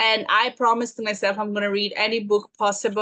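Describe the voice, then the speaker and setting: A woman with a Serbian accent. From Serbia (Belgrade). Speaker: business consultant. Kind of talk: interview. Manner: halting.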